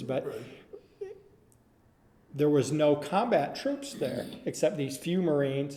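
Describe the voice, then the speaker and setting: With an Upper Midwest accent, a man talks at a moderate pace. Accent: Upper Midwest American. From Minnesota. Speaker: Air Force veteran. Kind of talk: oral history interview answer.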